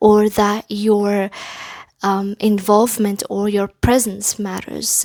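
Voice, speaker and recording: Speaking very slowly at a fairly high pitch, a woman with a non-native accent is heard in a dry, close sound with no echo. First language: not English. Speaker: tarot reader. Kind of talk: pick-a-card tarot reading. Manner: halting, with many fillers.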